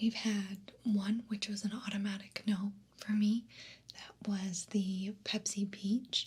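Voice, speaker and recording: A woman whispers, soft-spoken. Her voice is somewhat breathy. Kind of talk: ASMR soda taste test, casual talk to camera. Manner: whispered, soft-spoken.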